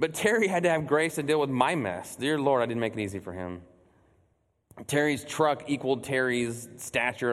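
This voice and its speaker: A man talks in an American accent. He has an ordinary speaking voice. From Texas, Burleson near Fort Worth. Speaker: church executive director preaching. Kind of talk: sermon. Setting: church stage with congregation.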